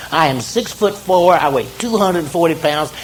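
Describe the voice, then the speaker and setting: With a Southern US accent, a man speaks at a high pitch with lively intonation, amid audible room echo and noticeable background noise. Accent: Southern American. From US South, South Carolina. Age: 50s. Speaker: near-death experience speaker. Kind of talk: motivational talk. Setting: stage with audience. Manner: animated.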